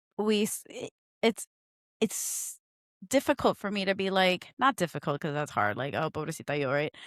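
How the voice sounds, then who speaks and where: Recorded very cleanly with a silent background and a dry, close sound with no echo, a woman speaks at a medium pitch and moderate pace with very wide pitch swings. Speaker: podcast co-host and mariachi singer. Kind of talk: casual chat.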